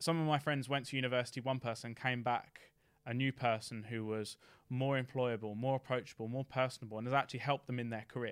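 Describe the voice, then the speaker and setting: Speaking very fast, a man keeps a medium pitch and fairly even intonation. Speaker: former apprentice, tech company employee. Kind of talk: casual interview. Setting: studio.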